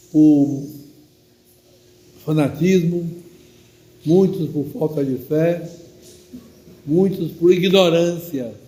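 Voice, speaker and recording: A very slow speaker with fairly even intonation leaves long, frequent pauses, and the room echo is audible. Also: man, high pitch for a man. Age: 80s+. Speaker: priest. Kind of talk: sermon.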